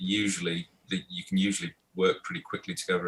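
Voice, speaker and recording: A man talks with a northeast English accent. His pace is very fast. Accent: north east english. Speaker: voice actor. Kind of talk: interview answer.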